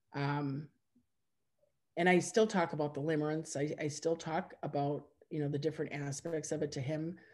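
A woman with an Upper Midwest accent and a very deep, low pitch, at a moderate pace with fairly even intonation and long, frequent pauses, over a quiet background. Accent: Upper Midwest American. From Wisconsin. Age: 50s. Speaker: forum member sharing personal story; interviewee. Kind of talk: testimony. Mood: reflective, personal. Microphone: video call.

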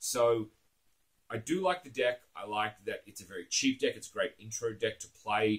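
With an Australian accent, a man speaks at a moderate pace. His loudness swings widely against a quiet background. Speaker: card game YouTuber. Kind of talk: casual monologue to camera. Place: home room.

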